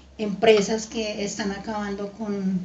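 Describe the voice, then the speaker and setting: Her medium-pitched voice stays monotone and flat. The woman is heard with audible room echo and noticeable background noise. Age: 70s. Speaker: grandparent interviewed for school project. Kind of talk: interview answers. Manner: halting, many fillers.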